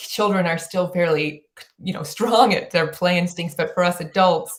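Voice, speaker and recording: The voice is a woman's, fairly low in pitch and somewhat breathy. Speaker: play advocate and author. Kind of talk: podcast interview. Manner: fast; animated.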